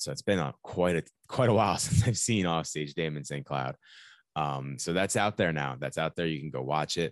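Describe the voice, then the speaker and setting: A man with an American accent and a very deep, low pitch uses lively intonation with vocal fry, in a dry, close sound with no echo and a quiet background. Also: moderate pace. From New York. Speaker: podcast host. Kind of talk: podcast interview.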